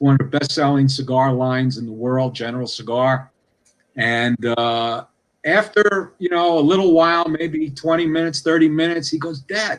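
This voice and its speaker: Speaking at a moderate pace with ordinary pitch variation, a man talks with a slight New York City accent. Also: fairly high pitch for a man. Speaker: cigar industry guest. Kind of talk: podcast interview.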